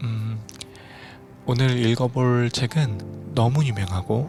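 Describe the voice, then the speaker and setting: A man's voice sits at a medium pitch while music runs behind him. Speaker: audiobook narrator and musician. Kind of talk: audiobook reading, sleep-aid narration.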